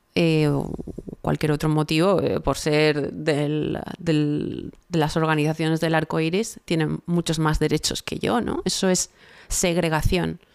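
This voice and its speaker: Her pitch is very deep and low for a woman. She speaks at a fairly slow pace. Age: 40s. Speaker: political commentator. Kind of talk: interview. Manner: animated.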